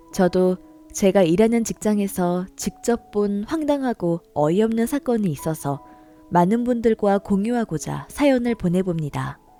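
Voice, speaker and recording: Over music in the background, a woman speaks at a fairly slow pace with very wide pitch swings. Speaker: story narrator. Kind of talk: reader-submitted story narration.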